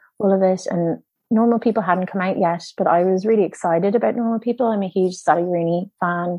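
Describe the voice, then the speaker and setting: At a moderate pace, a woman with a Dublin accent speaks at a medium pitch with fairly even intonation. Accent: Irish (Dublin). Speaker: film producer. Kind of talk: interview.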